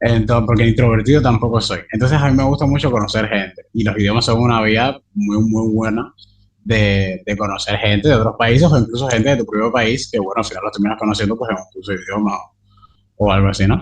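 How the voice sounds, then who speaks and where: Very fast, somewhat breathy speech comes from a man at medium pitch. His intonation stays fairly even. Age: 20s. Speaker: translator and interpreter, language learner. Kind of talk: interview conversation. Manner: hesitant, many fillers.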